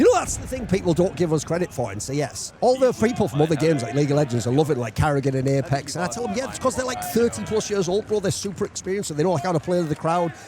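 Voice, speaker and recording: An animated man with a fairly high pitch, very wide pitch swings, a very fast pace and hardly any pauses, over background music. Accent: British. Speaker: esports pundit. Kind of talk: casual chat.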